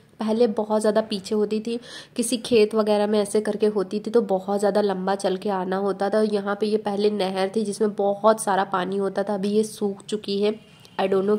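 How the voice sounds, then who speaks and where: The voice stays monotone and flat in intonation at a fairly slow pace. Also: woman. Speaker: travel vlogger. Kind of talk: vlog narration. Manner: casual with fillers.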